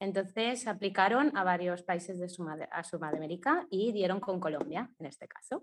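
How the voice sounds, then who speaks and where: Speaking in an unremarkable speaking voice, a woman at medium pitch moves at a moderate pace with hardly any pauses, lively intonation and big swings in loudness. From Mallorca, Spain. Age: 20s. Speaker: blogger and adoptee. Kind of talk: testimony.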